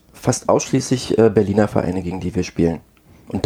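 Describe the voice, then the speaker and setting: This is a man with a fairly low pitch and an ordinary speaking voice. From Brandenburg, Germany. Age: 30s. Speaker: amateur tennis player. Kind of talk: casual chat.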